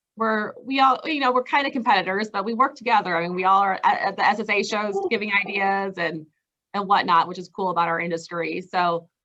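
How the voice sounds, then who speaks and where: The woman's voice sits at a medium pitch. She talks at a fairly quick pace. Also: ordinary pitch variation. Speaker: truck rental vendor representative. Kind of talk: interview. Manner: fast; hesitant, many fillers.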